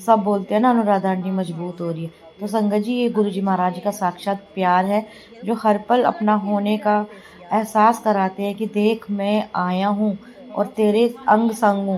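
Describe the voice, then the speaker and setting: A woman speaks in a tired tone at a medium pitch, her intonation monotone and flat. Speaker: devotional satsang vlogger. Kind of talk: devotional vlog narration. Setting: home, editing at night. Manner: tired, unsteady.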